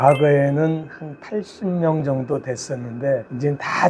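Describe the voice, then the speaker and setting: This man has a fairly high pitch. His voice is somewhat breathy. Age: 70s. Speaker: tailor and shop owner. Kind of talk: interview. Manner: casual.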